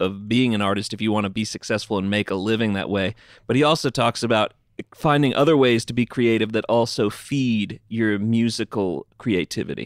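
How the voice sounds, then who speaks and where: In a very clean, dry, close recording with a silent background and no echo, a man with medium pitch speaks in an ordinary speaking voice at a moderate pace, with ordinary pitch variation. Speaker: podcast co-host. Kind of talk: casual interview. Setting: studio.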